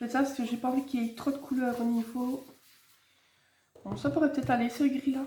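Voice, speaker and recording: Speaking very fast yet with long, frequent pauses, a woman holds a high pitch in monotone, flat intonation. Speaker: card-making crafter. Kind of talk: casual crafting tutorial. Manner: casual, chatty.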